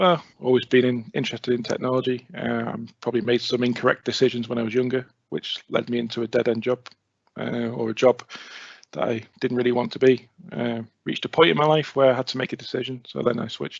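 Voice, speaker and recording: Talking at a very fast pace, a man with a North Wales accent uses a medium pitch and fairly even intonation. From North Wales (near Rhyl). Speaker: IT consultant. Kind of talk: presentation.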